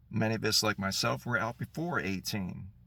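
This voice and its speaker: A man's fairly low voice, marked by vocal fry. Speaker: political commentator. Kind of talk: political monologue.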